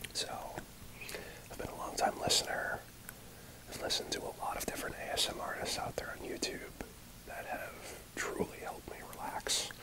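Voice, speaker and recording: A man whispers at a fairly quick pace. Long, frequent pauses break up his speech. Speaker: ASMR creator. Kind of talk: ASMR unboxing ramble. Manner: whispered, rambling. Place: home room. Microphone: earbuds.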